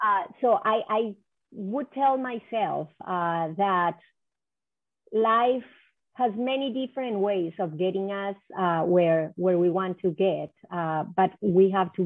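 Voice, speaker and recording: At a very slow pace, a woman with a Spanish accent talks at a medium pitch with ordinary pitch variation. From Colombia (Cali). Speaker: economic development executive. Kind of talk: interview. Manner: halting.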